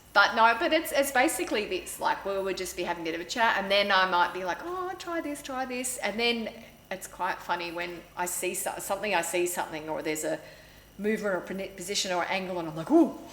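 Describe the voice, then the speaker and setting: The speaker talks at a very fast pace with very wide pitch swings and an Australian accent. Noticeable background noise is present. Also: woman, medium pitch for a woman. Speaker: photographer. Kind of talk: casual interview chat. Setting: studio. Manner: fast when excited; animated.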